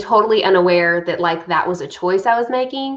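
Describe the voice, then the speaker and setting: Speaking at a moderate pace, a woman uses an ordinary speaking voice of medium pitch with ordinary pitch variation. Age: 30s. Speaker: college success coach. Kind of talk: interview.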